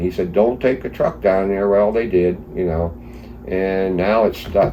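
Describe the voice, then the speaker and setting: The pitch moves with ordinary variation. Noticeable background noise can be heard. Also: man, very deep, low pitch for a man, fairly slow pace. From East Stroudsburg, Pennsylvania. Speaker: flood survivor. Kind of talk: interview answer.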